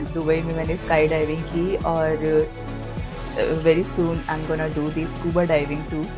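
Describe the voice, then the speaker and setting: A woman speaks at a very deep, low pitch in a monotone, flat intonation. Music plays behind her. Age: 30s. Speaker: anchor and voice dubbing artist. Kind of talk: interview answer.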